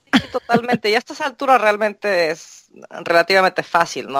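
A woman at a moderate pace with ordinary pitch variation, in a dry, close sound with no echo. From Mexico. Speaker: translator and court interpreter. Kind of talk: interview.

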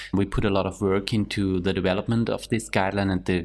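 The background is silent and the recording very clean. A man's pitch is very deep and low. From Austria. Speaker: scientific committee member. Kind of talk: panel discussion.

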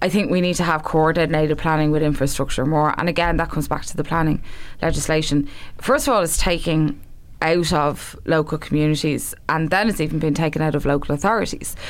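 The speaker has a Dublin accent and talks at a very fast pace with fairly even intonation. Loudness stays very even, with audible room echo. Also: woman, very deep, low pitch for a woman. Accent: Irish (Dublin). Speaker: election candidate. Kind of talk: casual chat.

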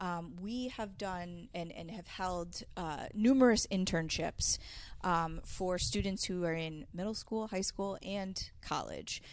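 Very slow speech from a woman with an American accent, medium pitch and ordinary pitch variation, on a very clean recording with a silent background. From Connecticut (Manchester). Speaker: television producer, media center director. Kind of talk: casual interview. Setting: studio. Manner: hesitant, many fillers.

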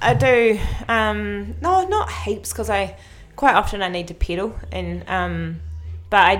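A woman with a New Zealand accent speaks at a moderate pace. Audible room echo surrounds her voice. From New Zealand, North Island. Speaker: mountain biker. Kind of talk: casual interview. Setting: gym studio.

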